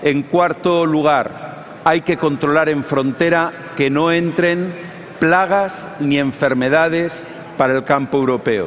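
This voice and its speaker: A man at fairly high pitch and moderate pace, very even in loudness, with noticeable background noise. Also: fairly even intonation. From Spain. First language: Spanish. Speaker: politician. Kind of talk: panel discussion.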